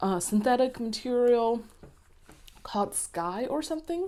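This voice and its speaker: A woman with a non-native accent speaks at a fairly high pitch, her voice making very wide pitch swings. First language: not English. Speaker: planner and leather goods reviewer. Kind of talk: product review. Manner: hesitant, many fillers.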